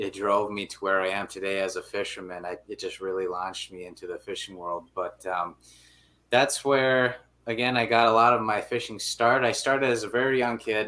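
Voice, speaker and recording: Speaking with an Upper Midwest accent, a man with a medium-pitched voice and ordinary pitch variation talks at a fairly quick pace in a bright, sharp tone, with big swings in loudness. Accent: Upper Midwest (Minnesota). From Minnesota, Brainerd area. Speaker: angler and businessman. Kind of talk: interview. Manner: casual, filler-heavy.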